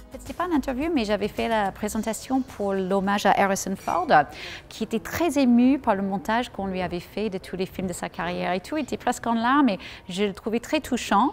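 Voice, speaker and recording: Lively intonation marks this woman's fairly high voice, which has an American accent and a fairly quick pace. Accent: American accent when speaking French. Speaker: journalist and master of ceremonies. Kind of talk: interview. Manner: spontaneous.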